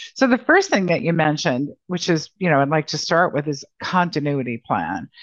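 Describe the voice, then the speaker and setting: With an unremarkable speaking voice, a woman talks at a fairly low pitch with lively intonation over a quiet background. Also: dry, close sound with no echo. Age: 60s. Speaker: founder and president of a financial advisory firm. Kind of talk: interview.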